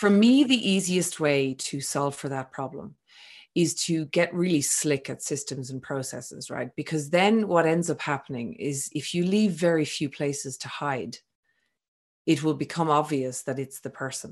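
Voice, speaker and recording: A woman speaks at a moderate pace with a very deep, low pitch and ordinary pitch variation. The background is quiet. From Ireland. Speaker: business founder, entrepreneur. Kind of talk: podcast interview.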